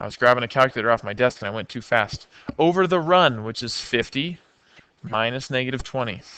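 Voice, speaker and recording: Moving at a fairly quick pace, a man with a bright, sharp tone and medium pitch shows ordinary pitch variation and big swings in loudness. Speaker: math teacher. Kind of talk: lecture. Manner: fast.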